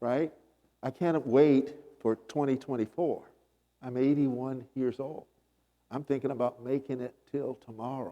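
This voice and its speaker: A man with a medium-pitched voice and a dark, mellow tone speaks at a fairly slow pace with fairly even intonation and long, frequent pauses. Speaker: panelist. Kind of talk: panel discussion. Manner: calm, subdued.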